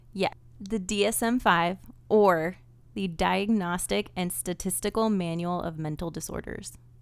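A woman has a normal speaking voice with a fairly low pitch. She talks at a fairly slow pace with ordinary pitch variation. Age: 30s. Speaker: true crime podcast co-host. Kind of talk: storytelling.

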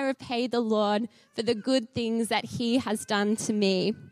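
Very slowly, a woman with an Australian accent talks in a dry, close sound with no echo. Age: 20s. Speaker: charity speaker. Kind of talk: sermon. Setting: church with audience.

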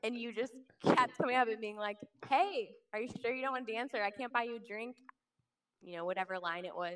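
Speaking at a very fast pace, a woman leaves long, frequent pauses. Her pitch is fairly high, with ordinary variation. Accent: American. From Kansas City, Missouri. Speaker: social worker. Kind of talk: casual chat. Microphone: held too far from mouth.

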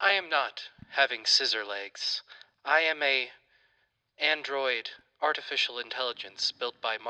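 A man puts on a robotic character voice, pitched fairly high, moving at a moderate pace with long, frequent pauses.

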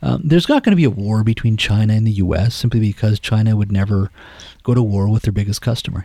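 Dark and mellow in tone, this man's voice sits at a fairly low pitch and is somewhat breathy. He talks very fast. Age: 50s. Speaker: politician, former journalist. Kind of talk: interview.

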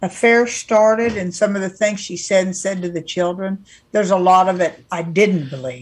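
A woman with an American accent speaks at a moderate pace and a medium pitch. Her voice is somewhat breathy, with ordinary pitch variation. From California. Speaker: podcast co-host. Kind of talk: casual chat.

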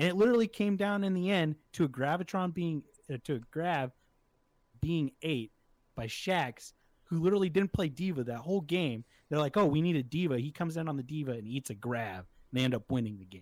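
A man with an American accent and a plain, everyday voice, fairly high in pitch, lively in intonation and fairly quick, recorded very clean against a silent background with a dry, close sound and no echo. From Nebraska, US Midwest. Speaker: podcast co-host. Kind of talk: casual banter podcast chat.

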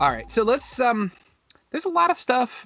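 A man speaks in an animated tone. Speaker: podcast host. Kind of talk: casual chat.

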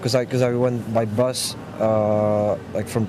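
Amid noticeable background noise, a man speaks at a medium pitch with fairly even intonation. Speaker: street musician and student. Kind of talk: casual interview. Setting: outdoors. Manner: halting, many fillers.

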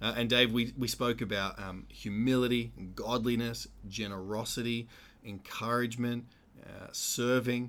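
Speaking at a moderate pace with an Australian accent, a man's voice swings widely in loudness. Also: medium pitch for a man. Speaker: pastor and podcast co-host. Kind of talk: casual podcast discussion. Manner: animated.

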